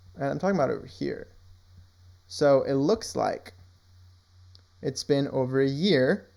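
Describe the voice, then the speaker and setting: Speaking at a fairly slow pace with long, frequent pauses, a man uses a fairly high pitch and a dark, mellow tone. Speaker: crypto market analyst. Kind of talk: screen-share tutorial. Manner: occasionally stutters over words; casual, many fillers.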